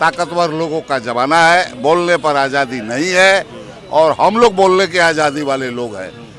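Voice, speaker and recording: A fairly high-pitched man with lively intonation amid noticeable background noise. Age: 60s. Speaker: political activist. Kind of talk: interview.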